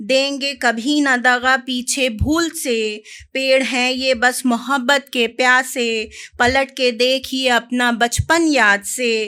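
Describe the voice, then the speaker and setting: The recording is very clean, with a silent background. A woman projects a raised, high voice with a bright, sharp tone. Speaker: poet. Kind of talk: poetry reading. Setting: live stage with audience.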